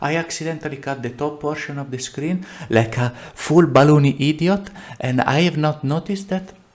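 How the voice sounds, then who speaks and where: A man with an Italian accent talks at a moderate pace in a fairly high pitch. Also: ordinary pitch variation, quiet background. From Italy. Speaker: game developer and tutorial maker; tutorial creator. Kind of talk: tutorial. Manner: halting, many fillers and repeats; casual, animated. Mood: self-deprecating, relaxed.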